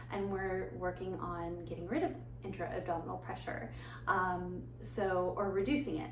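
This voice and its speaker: Over noticeable background noise, a female speaker talks at a moderate pace. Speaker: prenatal and postpartum fitness and breathwork instructor. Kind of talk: guided breathwork instruction.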